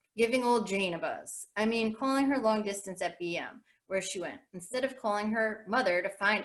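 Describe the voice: Ordinary pitch variation in plain reading aloud, quiet background behind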